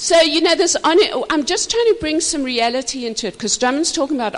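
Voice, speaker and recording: There is noticeable background noise. A woman's voice moves in very wide pitch swings. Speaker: marriage minister. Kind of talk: marriage teaching talk. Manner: animated.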